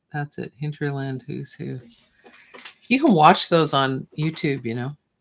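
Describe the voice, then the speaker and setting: A soft-spoken woman with a very deep, low pitch talks at a fairly slow pace in a relaxed tone, with ordinary pitch variation and big swings in loudness. The sound is dry and close, with no echo. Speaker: visual artist livestreaming from her studio. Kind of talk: casual chat while drawing on livestream. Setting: livestream from art studio. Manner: slow, relaxed.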